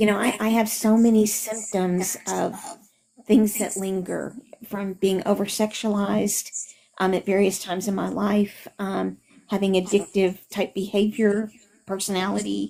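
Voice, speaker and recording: Dark, mellow tone with monotone, flat intonation. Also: woman, medium pitch for a woman, fairly slow pace. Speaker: support group member. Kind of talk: support group sharing. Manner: halting, stuttering.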